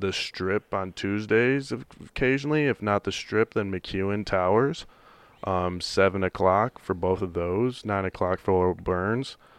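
A man with an American accent talks at a fairly slow pace. The sound is dry and close with no echo, against a quiet background. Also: fairly low pitch for a man, ordinary pitch variation. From US Midwest. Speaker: pro football player and stand-up comedian. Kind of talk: casual chat.

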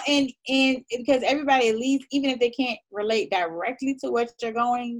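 The woman's voice is high-pitched. She talks at a moderate pace. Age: 30s. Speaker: lifestyle blogger. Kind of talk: casual chat.

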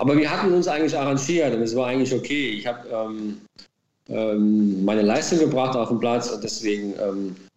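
A man's dark, mellow voice at medium pitch and moderate pace, with ordinary pitch variation and audible room echo. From Baden-Württemberg, near Heidelberg. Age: 40s. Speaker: former footballer, racehorse trainer. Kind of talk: interview. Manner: hesitant with many fillers.

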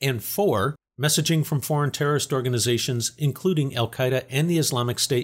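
On a very clean recording with a silent background, a man speaks at a fairly quick pace and a fairly high pitch. His voice is somewhat breathy, with ordinary pitch variation. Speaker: news update presenter. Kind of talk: formal news reading of a scripted security briefing. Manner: formal; measured, even-paced, neutral newsreader delivery.

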